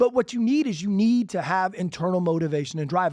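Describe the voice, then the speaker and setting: In a quiet background, a man with an American accent talks in a high pitch, with an animated tone and lively intonation. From Alabama, US South. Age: 40s. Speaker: podcast host, real estate agent. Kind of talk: solo podcast monologue. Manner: fast.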